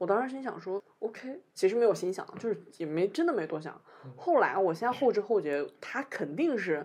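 Delivered at a moderate pace in a northern Chinese accent, the speech has an animated tone and very wide pitch swings. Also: woman, medium pitch for a woman. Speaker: podcast co-host. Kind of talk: casual chat. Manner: animated storytelling.

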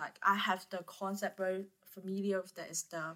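A woman's medium-pitched voice with a Cantonese accent and monotone, flat intonation. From Guangzhou, southern China. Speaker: student podcast host. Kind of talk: interview. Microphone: poor recording quality.

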